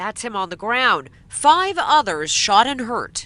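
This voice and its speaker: In a raised, projected voice, a woman speaks at a fairly slow pace with a bright, sharp tone and very wide pitch swings. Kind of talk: TV news narration.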